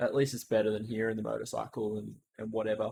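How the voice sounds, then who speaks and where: Here a man with an Australian accent speaks at a medium pitch. His pace is fairly quick and his intonation fairly even. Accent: thick Australian. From Australia, Melbourne area (near Frankston). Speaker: streamer. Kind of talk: casual chat. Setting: live stream. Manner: halting.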